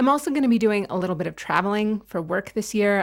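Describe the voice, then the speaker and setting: A woman with an American accent and an unremarkable speaking voice, medium in pitch with ordinary pitch variation, at a fairly quick pace in a very clean recording with a silent background. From United States. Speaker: knitting video creator. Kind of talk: casual vlog chat.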